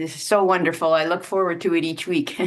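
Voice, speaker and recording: A woman speaks at a moderate pace in a shaky voice. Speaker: online participant asking a question. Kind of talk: question in a live online teaching session. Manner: shaky, nervous voice; hesitant, with fillers.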